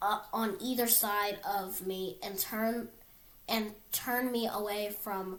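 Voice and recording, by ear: A natural voice reading aloud.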